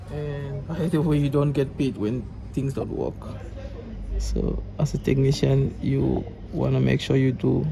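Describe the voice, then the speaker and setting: Fairly slow speech from a man, music playing behind him. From Cameroon. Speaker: electronics repair technician. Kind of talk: repair tutorial. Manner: talkative.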